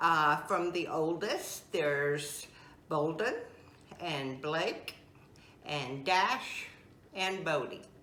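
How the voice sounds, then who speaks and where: A woman with a Southern US accent and a very deep, low pitch speaks at a very slow pace with long, frequent pauses and ordinary pitch variation, amid noticeable background noise and audible room echo. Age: 70s. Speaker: home cook. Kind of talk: interview; cooking tutorial.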